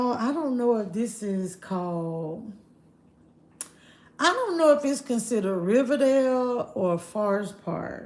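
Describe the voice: This woman's pitch is fairly high, with lively intonation. She speaks at a fairly slow pace. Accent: Southern US.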